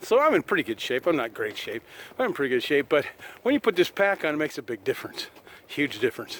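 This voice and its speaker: A man talks at a very fast pace, recorded with a dry, close sound and no echo. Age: 60s. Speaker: outdoor vlogger, retiree. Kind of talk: casual vlog talk to camera. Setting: outdoors, walking in a city park. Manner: relaxed, many filler uh's.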